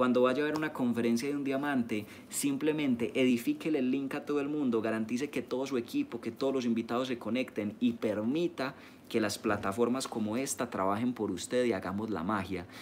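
Light background noise under a man speaking with ordinary pitch variation. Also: fairly quick pace. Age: 20s. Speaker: network marketing leader. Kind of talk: live-streamed training talk. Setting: live stream. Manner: animated. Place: home room. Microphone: phone near.

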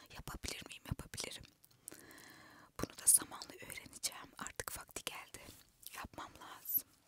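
A whispering woman at a moderate pace, with big swings in loudness and long, frequent pauses. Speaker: ASMR content creator. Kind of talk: casual talk to camera. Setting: inside a parked car. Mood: reflective, self-questioning. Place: car. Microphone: handheld.

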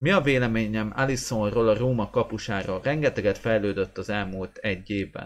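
Here a man speaks at a fairly low pitch and a moderate pace. He has ordinary pitch variation and hardly any pauses. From Hungary. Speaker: goalkeeper coach and sports channel host; goalkeeping blogger, coach. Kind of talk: live stream chat with viewers. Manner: hesitant with fillers. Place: home room. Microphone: webcam.

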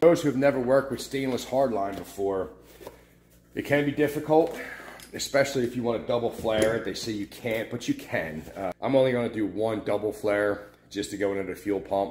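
Light background noise and audible room echo accompany a man speaking at a fairly quick pace. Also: ordinary pitch variation. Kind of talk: casual tutorial vlog. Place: garage. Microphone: phone near.

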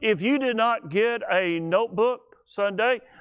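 A man's high-pitched voice with lively intonation, against a quiet background. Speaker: preacher. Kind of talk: sermon. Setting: church. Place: church.

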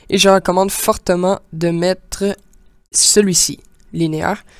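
A woman with a Quebec accent, fairly low pitch and monotone, flat intonation. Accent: Québécois French. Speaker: gaming YouTuber, amateur game developer. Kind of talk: tutorial. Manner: halting, many fillers.

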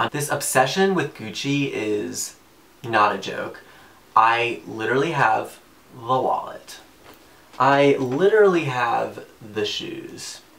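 A man speaks with an American accent. He talks at a very slow pace. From US South, Macon, Georgia; Georgia. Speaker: student / musical theater performer; interviewee. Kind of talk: casual self-introduction video. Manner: animated. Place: home room.

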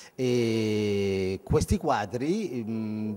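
A man with ordinary pitch variation. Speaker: live show host. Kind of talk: talk show hosting. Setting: live broadcast at a company site. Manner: formal. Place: factory. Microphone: handheld.

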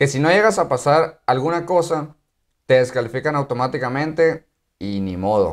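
A man speaks at a moderate pace in a fairly high voice with a Mexican accent. His intonation is lively, and the background is quiet. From Mexico. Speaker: YouTuber and active-duty Marine; YouTuber. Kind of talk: casual vlog explainer. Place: home room.

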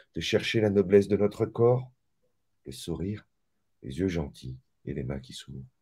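Against a quiet background, a man with a fairly low pitch speaks at a moderate pace in a dark, mellow tone with vocal fry. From mixed Malagasy-French background. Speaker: author and spiritual teacher; spiritual teacher. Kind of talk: casual interview. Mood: calm, reflective. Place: home room. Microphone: video call.

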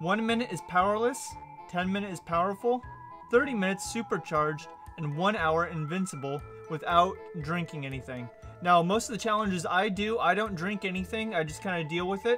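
Clear music plays behind a man who talks at a high pitch and moderate pace, with ordinary pitch variation and long, frequent pauses. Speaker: content creator. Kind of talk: casual vlog chat. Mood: upbeat, relaxed. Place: home room.

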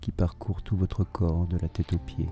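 A man with a very deep, low pitch talks at a fairly slow pace in a calm, soothing tone. Music plays in the background. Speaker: hypnotherapist. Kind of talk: hypnosis induction session. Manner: slow, calm, soothing.

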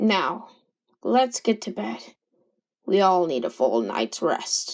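In a raspy, put-on character voice, a woman at a medium pitch talks at a fairly slow pace with very wide pitch swings. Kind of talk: character dialogue in fan animation. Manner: formal, calm, measured.

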